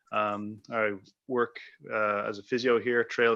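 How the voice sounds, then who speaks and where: A man with an Irish accent at medium pitch, against a quiet background. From Ireland. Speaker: physiotherapist, new committee member. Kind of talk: self-introduction at meeting.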